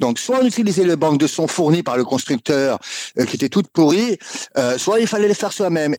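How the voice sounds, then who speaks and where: With a dry, close sound and no echo, a man speaks at a fairly quick pace and a high pitch, his pitch swinging very widely. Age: 50s. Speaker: video game music composer. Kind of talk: interview.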